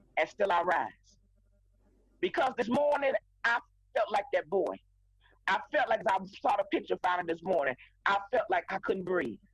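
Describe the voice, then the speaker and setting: A woman speaks with very wide pitch swings and very even loudness, leaving long, frequent pauses. Music plays in the background, and the sound is dry and close with no echo. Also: medium pitch for a woman, moderate pace. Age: 60s. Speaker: pastor, co-host of faith talk show. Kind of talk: impassioned talk show discussion. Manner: emphatic.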